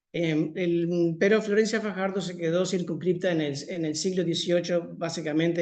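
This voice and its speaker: His intonation is fairly even. The man's pitch sits high. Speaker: historian giving a talk. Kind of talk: lecture. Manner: fast.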